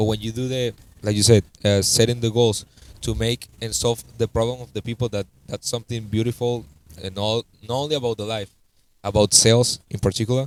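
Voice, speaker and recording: The sound is dry and close with no echo as a man with a Spanish accent speaks fairly quickly at a medium pitch in a monotone, flat intonation. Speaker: podcast host. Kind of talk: podcast interview. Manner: halting.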